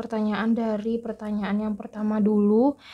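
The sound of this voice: A woman speaks softly. Her pitch barely moves.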